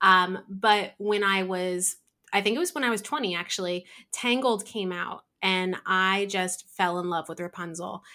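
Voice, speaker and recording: On a very clean recording with a silent background, a woman speaks with a New Jersey accent. Her medium-pitched voice is bright and sharp in tone, with ordinary pitch variation at a moderate pace. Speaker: craft business owner, artist. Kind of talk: casual interview chat.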